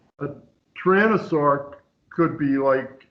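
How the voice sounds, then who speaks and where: Speaking at a fairly slow pace, a man with a fairly high pitch is heard with audible room echo. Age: 70s. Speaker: author of catastrophist astronomy theories. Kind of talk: casual chat. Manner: halting.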